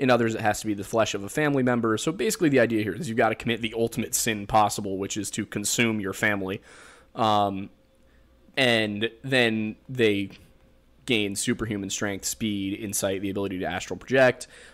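On a very clean recording with a silent background, a man with a strong Pennsylvania accent speaks at a fairly quick pace in a fairly low pitch with an animated tone. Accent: thick Pennsylvania. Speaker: podcast host. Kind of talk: casual chat. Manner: animated, jokey.

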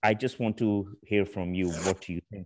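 An unremarkable speaking voice moves at a moderate pace. The background is quiet. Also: man. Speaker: podcast host. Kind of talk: casual interview.

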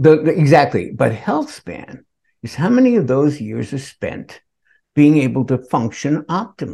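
Somewhat breathy with a dark, mellow tone, a man talks at a moderate pace. His intonation is lively. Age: 70s. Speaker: nutritionist co-host. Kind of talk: casual chat.

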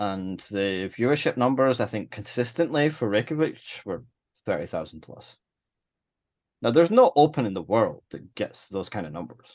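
A man with a Scottish accent speaks at a medium pitch with lively intonation and big swings in loudness against a quiet background. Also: moderate pace. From Scotland. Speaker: chess tournament organizer. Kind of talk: casual chat.

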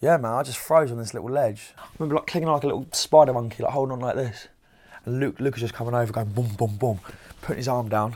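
In a very clean recording with a silent background, a man talks at a very fast pace, his medium pitch showing ordinary variation. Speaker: program participant. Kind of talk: testimony.

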